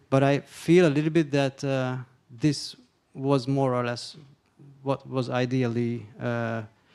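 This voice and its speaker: Fairly slow and fairly even in intonation, a man speaks. His pitch sits in the medium range. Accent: Hungarian. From Hungary. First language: Hungarian. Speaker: panelist, culture funding expert. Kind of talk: panel discussion question. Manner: halting, many fillers and restarts.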